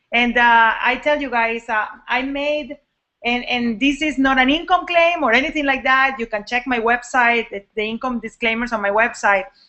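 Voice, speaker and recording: A woman's high-pitched voice with a Latin American accent, ordinary pitch variation and a moderate pace. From Venezuela. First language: Spanish. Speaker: network marketing coach. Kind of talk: live online training talk. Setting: live video hangout. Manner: casual, animated. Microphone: poor sound quality.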